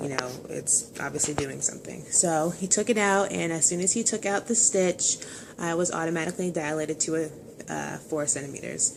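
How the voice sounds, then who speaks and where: Fairly quick speech with ordinary pitch variation over noticeable background noise. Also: woman, fairly low pitch for a woman. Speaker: vlogger sharing birth story. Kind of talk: casual personal story vlog. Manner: fast.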